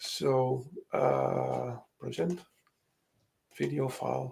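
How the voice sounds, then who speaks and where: A man is speaking. He has a Dutch accent. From Netherlands. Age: 50s. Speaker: software developer. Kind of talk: casual tech demo chat. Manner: halting, many fillers.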